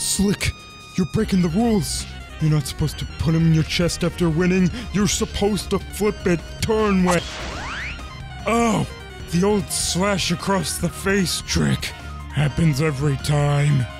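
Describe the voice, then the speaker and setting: Clear background music behind a man talking at a moderate pace. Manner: loud, goofy, indignant.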